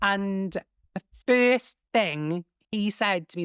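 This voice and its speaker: On a very clean recording with a silent background and a dry, close sound with no echo, a woman with a Welsh accent speaks with very wide pitch swings. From Wales. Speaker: comedian and social media creator. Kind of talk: casual chat. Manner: camp delivery; animated.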